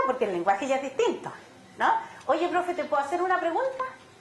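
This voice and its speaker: An animated woman in a Chilean accent, very wide pitch swings, audible room echo and noticeable background noise. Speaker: education neuroscience expert. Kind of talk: conference talk. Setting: auditorium with audience.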